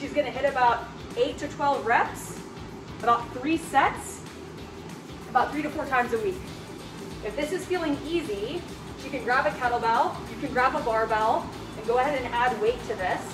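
Over clear music in the background, a woman talks at a moderate pace with a high pitch, ordinary pitch variation, and long, frequent pauses. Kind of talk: tutorial. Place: gym.

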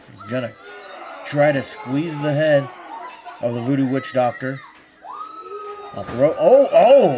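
Crowd noise fills the background as a man talks with big swings in loudness. He leaves long, frequent pauses. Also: fairly slow pace. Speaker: wrestling commentator. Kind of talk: live wrestling play-by-play commentary.

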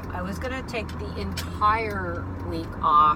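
Loud background noise runs under a woman speaking at a very slow pace. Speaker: vlogger. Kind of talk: casual vlog chat. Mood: a little sad, candid. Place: car. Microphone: phone near.

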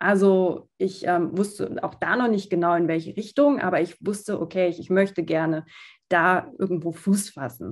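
A woman with a medium pitch speaks against a quiet background. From southern Germany, small town. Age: 30s. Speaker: fashion designer and founder; podcast guest. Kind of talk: interview. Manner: hesitant with many fillers. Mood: calm, thoughtful. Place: home room. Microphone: video call.

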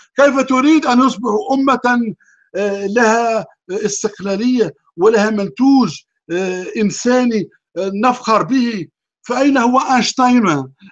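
A man's extremely high voice, very slow pace, ordinary pitch variation and very even loudness, over a quiet background. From Tunisia. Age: 50s. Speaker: atheist commentator. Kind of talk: talk show interview monologue. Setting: online call. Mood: earnest, lamenting.

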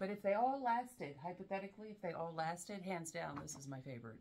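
Talking with an American accent and vocal fry, a woman uses a medium pitch with very wide pitch swings at a fairly quick pace over light background noise. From US South. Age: 40s. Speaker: fragrance reviewer. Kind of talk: casual chat. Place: home room. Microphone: camera far.

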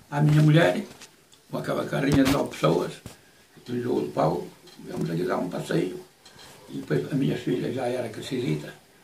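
A man talks at a moderate pace with very wide pitch swings and long, frequent pauses. Room echo is audible, along with light background noise. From Cibões, Terras de Bouro, Minho, northern Portugal. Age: 80s+. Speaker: retired stick-fighting master and former head cook. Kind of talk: interview answer. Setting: at home. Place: home room. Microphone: camera far.

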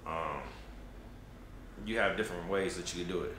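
Over light background noise and audible room echo, a man speaks in a very deep, low pitch with fairly even intonation. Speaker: travel vlogger. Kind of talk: casual vlog chat. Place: home room.

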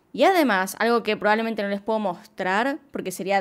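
A woman's fairly high voice with lively intonation and an Argentine accent, over a quiet background. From Argentina. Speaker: true crime YouTuber. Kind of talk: scripted narration. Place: home room. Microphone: studio mic.

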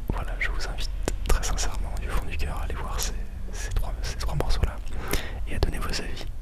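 A man whispers at a moderate pace. He is soft-spoken. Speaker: music producer vlogger. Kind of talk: casual vlog chat. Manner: soft close-mic ASMR whisper. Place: home room. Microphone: studio mic.

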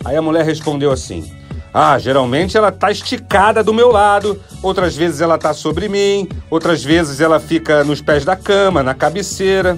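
With music in the background, a man talks at a moderate pace in a fairly high voice with lively intonation. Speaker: motivational speaker. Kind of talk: radio podcast storytelling segment.

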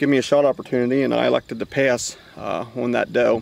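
Light background noise sits behind a man's voice. The sound is dry, without any echo. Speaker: hunter vlogger. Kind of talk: casual vlog chat. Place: open country. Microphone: phone near.

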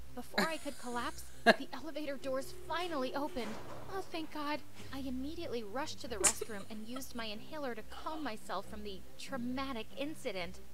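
Noticeable background noise accompanies a woman speaking at a fairly quick pace. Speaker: reaction narrator. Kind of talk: story narration. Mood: amused, laughing at times. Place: home room. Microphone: studio mic.

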